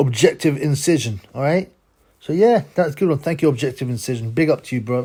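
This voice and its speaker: A man speaks with a fairly high pitch and ordinary pitch variation. His tone is dark and mellow, somewhat breathy. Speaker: boxing YouTuber. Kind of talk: casual vlog commentary. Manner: fast; animated.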